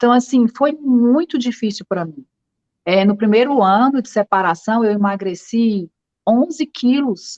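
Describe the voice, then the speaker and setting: Recorded dry and close with no echo, a woman speaks with lively intonation at a fairly high pitch, with a northeastern Brazilian accent. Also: fairly slow pace. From Northeast Brazil. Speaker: writer. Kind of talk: interview.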